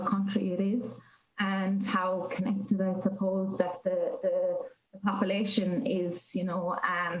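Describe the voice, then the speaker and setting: Audible room echo fills the space around a woman. She talks at a medium pitch. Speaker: academic researcher. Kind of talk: interview answer. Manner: hesitant, many fillers.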